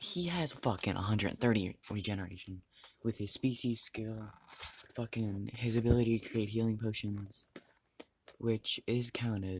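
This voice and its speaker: A man talks at a moderate pace. His medium-pitched voice is somewhat breathy. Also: ordinary pitch variation. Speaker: youtuber. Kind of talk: casual chat. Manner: halting.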